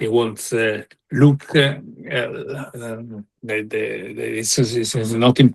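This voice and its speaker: At a fairly slow pace, a man with an Italian accent speaks at a medium pitch with vocal fry. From Italy. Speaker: panel speaker on migration. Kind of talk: panel discussion. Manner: halting, many fillers and repetitions.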